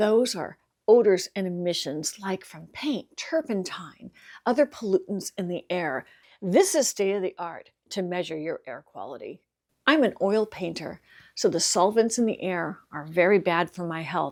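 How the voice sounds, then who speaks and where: A woman of medium pitch speaks at a moderate pace with lively intonation and big swings in loudness, on a very clean recording with a silent background. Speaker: product reviewer. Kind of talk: product review demonstration. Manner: animated.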